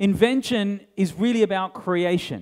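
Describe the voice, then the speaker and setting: A man with an Australian accent talks at a fairly slow pace. His pitch is high, with ordinary variation. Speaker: tech industry keynote speaker. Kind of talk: conference keynote. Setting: stage with audience. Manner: animated.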